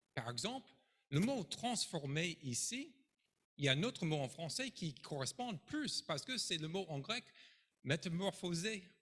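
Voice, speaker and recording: An American man speaks in an animated tone with a high pitch, at a fairly slow pace. His pitch swings very widely, and he takes long, frequent pauses. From United States. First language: English (speaking French). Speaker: pastor. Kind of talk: sermon.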